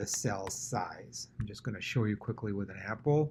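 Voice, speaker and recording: At a moderate pace, a man with a medium pitch talks in a somewhat breathy voice. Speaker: tech tutorial host for teachers. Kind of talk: screen-recorded tutorial. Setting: at computer, screen recording. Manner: casual, conversational.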